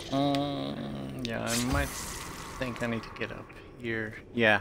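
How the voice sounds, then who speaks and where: The pace here is fairly slow. The speaker is a man with a Dutch accent. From Netherlands. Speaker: gaming streamer. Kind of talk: gameplay commentary. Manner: hesitant, many fillers.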